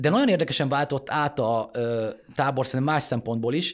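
A man talks at a fairly quick pace and a fairly high pitch. The recording is very clean with a silent background. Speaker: political journalist, podcast host. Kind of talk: casual political analysis.

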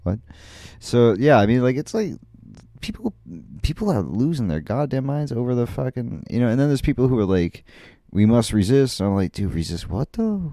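With an unremarkable speaking voice, the speaker keeps a moderate pace and lively intonation. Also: man, medium pitch for a man. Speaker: podcast host. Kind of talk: casual solo podcast monologue. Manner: rambling, filler-heavy, jokey.

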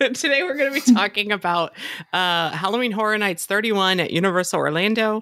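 Bright and sharp, a woman's voice moves at a fairly quick pace with an animated tone. Her pitch sits at medium with ordinary variation. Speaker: podcast host. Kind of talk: casual chat. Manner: animated, laughs often.

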